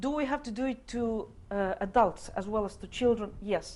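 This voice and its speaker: With a Russian accent, a woman speaks at a moderate pace and fairly high pitch, showing ordinary pitch variation. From Estonia. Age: 50s. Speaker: diplomat. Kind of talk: panel discussion. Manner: halting.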